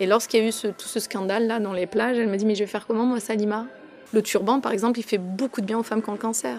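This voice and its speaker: Amid noticeable background noise, a woman with a fairly high pitch and fairly even intonation talks at a very fast pace. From France. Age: 30s. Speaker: fashion columnist and stage actor. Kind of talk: interview testimony.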